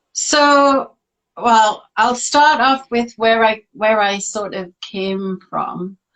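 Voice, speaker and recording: A woman talks at a very slow pace with a fairly high pitch. Her intonation is lively. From northern England, Newcastle. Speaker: artist and life coach. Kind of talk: interview, casual chat. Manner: hesitant, many fillers.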